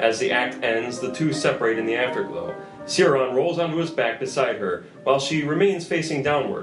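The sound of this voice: With faint music in the background and audible room echo, a man talks at a fairly quick pace in a medium pitch with ordinary pitch variation.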